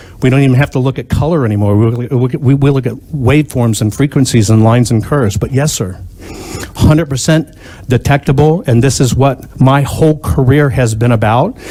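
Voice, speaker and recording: Noticeable background noise sits behind a man at a medium pitch. He talks at a fairly quick pace with ordinary pitch variation. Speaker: inventor and pattern recognition expert testifying at hearing. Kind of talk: testimony. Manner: loud; emphatic.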